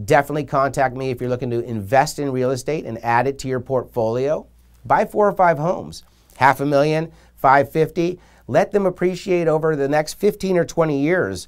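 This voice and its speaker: A man's fairly high voice with ordinary pitch variation at a fairly quick pace. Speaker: real estate broker. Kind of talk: sales pitch. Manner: fast; animated.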